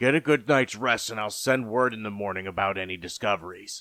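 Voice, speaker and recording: Using a raspy, put-on character voice, a man talks at a fairly quick pace and a medium pitch. The recording is very clean, with a silent background. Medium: read story.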